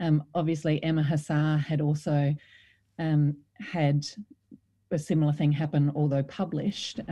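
In an Australian accent, a woman speaks at a very deep, low pitch with a dark, mellow tone. Her voice is somewhat breathy, with monotone, flat intonation. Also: very clean recording, silent background. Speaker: former politician and author. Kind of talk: interview.

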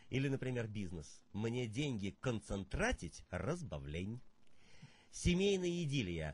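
Speaking at a very slow pace, a man swings his pitch very widely in a somewhat breathy voice, with dry sound and no echo. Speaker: poet and performance artist; poet. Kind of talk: interview; poetry reading. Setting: studio. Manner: musical, rhythmic speech. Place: studio.

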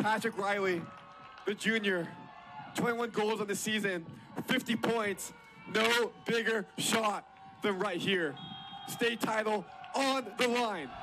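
A man with a high pitch speaks in a raised, projected voice at a fairly slow pace, with long, frequent pauses. His intonation is fairly even, his loudness very even, and music plays in the background. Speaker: soccer play-by-play commentator. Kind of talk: soccer play-by-play commentary.

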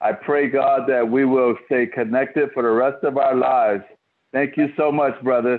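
This man talks at a fairly slow pace with an American accent. His pitch sits in the medium range. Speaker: prayer revival host and pastor. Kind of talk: fervent prayer and altar call. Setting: Facebook Live video call with several participants. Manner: earnest, fervent, pleading.

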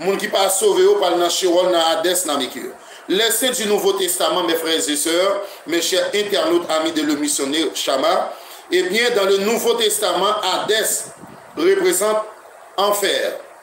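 In a room with audible echo and light background noise, a man speaks fairly slowly in a high voice with ordinary pitch variation. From Haiti. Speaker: pastor; preacher addressing online listeners. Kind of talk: sermon. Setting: internet radio broadcast. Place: home room.

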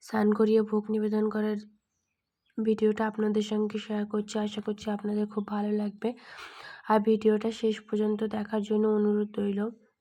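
A woman speaks with a fairly high pitch and a dark, mellow tone. Her intonation is monotone and flat. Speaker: devotional vlogger. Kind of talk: home vlog narration. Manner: halting.

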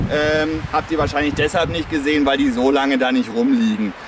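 A man talks at a moderate pace over loud background noise. The sound is dry with no echo. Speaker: nature trail guide. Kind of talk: outdoor educational explanation. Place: forest.

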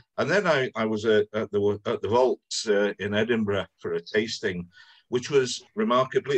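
Against a quiet background, a man with a Welsh accent speaks at a moderate pace. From Wales. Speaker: club event organiser; whisky tasting host. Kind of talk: casual chat. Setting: video call. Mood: relaxed, anecdotal. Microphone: video call.

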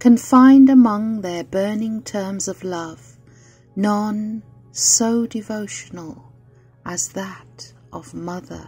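A woman's medium-pitched voice at a very slow pace, lively intonation, and music in the background. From Britain. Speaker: poetry reader. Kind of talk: poetry reading.

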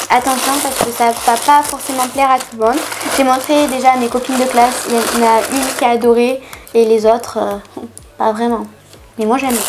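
A woman's high-pitched, monotone voice at a moderate pace, with flat intonation and noticeable background noise. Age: 20s. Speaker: YouTuber. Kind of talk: shopping haul vlog. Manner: casual, chatty. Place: home room.

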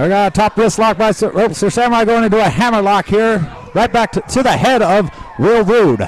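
A man's animated, high-pitched voice against noticeable background noise. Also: ordinary pitch variation, very even loudness. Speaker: wrestling commentator. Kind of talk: live wrestling commentary. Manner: fast, animated play-by-play calling each move.

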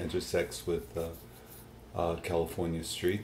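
Very deep and low in pitch, the man's voice has a dark, mellow tone and sounds somewhat breathy. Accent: American. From Huntsville, Alabama. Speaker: oral history interviewee. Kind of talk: interview answer. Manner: hesitant, conversational.

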